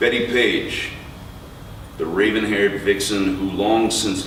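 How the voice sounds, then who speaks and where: Over noticeable background noise, the talker, with an American accent, keeps a moderate pace. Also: man. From New York. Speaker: poet. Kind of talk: poetry reading. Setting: live bookstore event.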